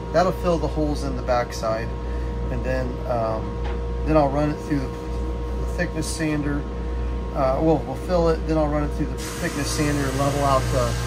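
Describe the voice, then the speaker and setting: At a moderate pace, a man speaks as music plays in the background. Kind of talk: casual build vlog explanation. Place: workshop. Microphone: camera far.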